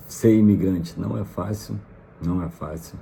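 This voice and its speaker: A man with a Rio de Janeiro accent speaks with ordinary pitch variation, amid audible room echo and noticeable background noise. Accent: Brazilian Portuguese, carioca. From Brazil, Rio de Janeiro. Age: 30s. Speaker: vlogger, immigrant. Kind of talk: casual vlog monologue. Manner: hesitant, many fillers.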